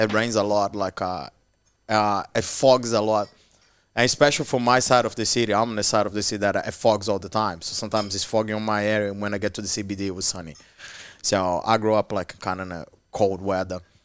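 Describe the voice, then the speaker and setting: A man's fairly low voice at a very fast pace in a very clean recording with a silent background. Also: fairly even intonation. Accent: Portuguese. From Brazil, Petropolis near Rio. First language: Portuguese. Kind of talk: casual podcast interview. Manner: halting, many restarts.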